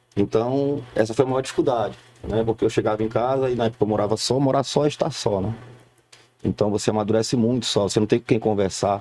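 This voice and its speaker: A man talks at a very fast pace. His tone is dark and mellow, with fairly even intonation. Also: medium pitch for a man. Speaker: entrepreneur, former salaried employee. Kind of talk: TV talk show interview. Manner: halting, repeats words.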